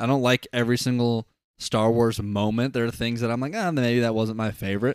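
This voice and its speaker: In a normal speaking voice, the delivery moves at a fairly quick pace with fairly even intonation. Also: man, medium pitch for a man. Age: 20s. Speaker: podcast co-host. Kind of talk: casual chat. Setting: livestream.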